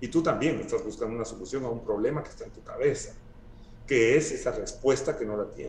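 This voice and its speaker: A man talks at a very fast pace with big swings in loudness, audible room echo and light background noise. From Guatemala. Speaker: sculptor; guest. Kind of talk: casual interview conversation. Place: home room. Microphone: video call.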